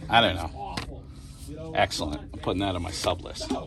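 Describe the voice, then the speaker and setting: Noticeable background noise surrounds a man speaking with a Boston accent. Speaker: comic shop customer. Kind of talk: casual chat. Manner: animated.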